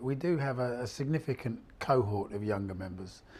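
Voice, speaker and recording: Somewhat breathy and dark, mellow in tone, a man speaks at a moderate pace and medium pitch on a very clean recording with a silent background. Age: 60s. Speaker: freelance voluntary sector worker. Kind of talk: interview testimony. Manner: halting, many fillers.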